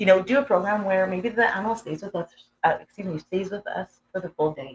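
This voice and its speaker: Somewhat breathy and medium in pitch, a woman talks at a fairly quick pace with ordinary pitch variation and big swings in loudness. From Canada, Edmonton, Alberta. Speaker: humane education program manager. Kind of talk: interview. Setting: live stream at a conference. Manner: halting.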